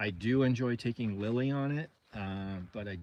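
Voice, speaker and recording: This man talks at a medium pitch. His pitch varies in an ordinary way. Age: 60s. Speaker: overland traveler and vlogger. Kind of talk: casual livestream chat. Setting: livestream from camper rig. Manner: casual, hesitant with many fillers.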